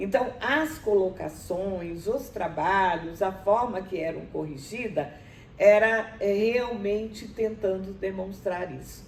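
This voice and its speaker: Her delivery is very slow, with ordinary pitch variation. The woman's voice carries audible room echo. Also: medium pitch for a woman, big swings in loudness. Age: 70s. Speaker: university professor. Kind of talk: interview. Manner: halting, many fillers.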